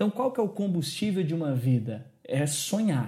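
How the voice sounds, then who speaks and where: This man's voice is high in pitch. It makes very wide pitch swings. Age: 20s. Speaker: youth pastor. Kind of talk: religious discussion podcast.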